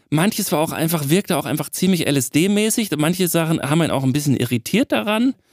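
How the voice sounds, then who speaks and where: A man with a normal speaking voice talks at a fairly quick pace with hardly any pauses, his pitch fairly high and his loudness very even. The sound is dry and close, with no echo. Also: lively intonation. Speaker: sound designer, podcast co-host. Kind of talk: casual chat.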